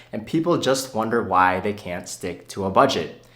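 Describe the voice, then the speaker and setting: A man's voice comes with audible room echo. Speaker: personal finance youtuber. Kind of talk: unscripted video Q&A. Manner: fast, rapid-fire.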